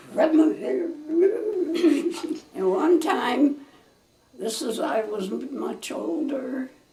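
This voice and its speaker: Over noticeable background noise, a woman speaks at a very slow pace and high pitch with big swings in loudness. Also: lively intonation. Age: 90s. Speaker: family elder recalling childhood. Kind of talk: interview answer. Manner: slow, halting.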